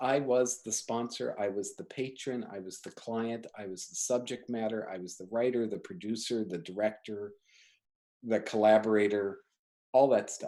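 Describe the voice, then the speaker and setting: A man with a plain, everyday voice speaks at medium pitch and a moderate pace, with ordinary pitch variation and big swings in loudness. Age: 60s. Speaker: designer and studio owner. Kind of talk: casual interview chat.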